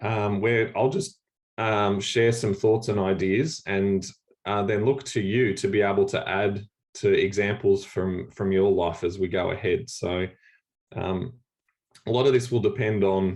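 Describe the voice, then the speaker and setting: In an Australian accent, a man talks at a fairly slow pace with a fairly low pitch and fairly even intonation. The background is quiet. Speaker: church leader. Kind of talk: workshop talk on video call. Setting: video call. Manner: halting, many fillers.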